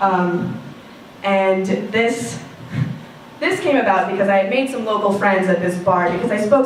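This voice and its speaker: A woman talks at a fairly quick pace with ordinary pitch variation, audible room echo and noticeable background noise. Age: 20s. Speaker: student storyteller. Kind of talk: personal storytelling.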